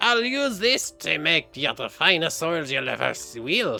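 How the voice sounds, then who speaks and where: A man performs a put-on character voice at a high pitch and a moderate pace. Faint music plays in the background. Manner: gruff.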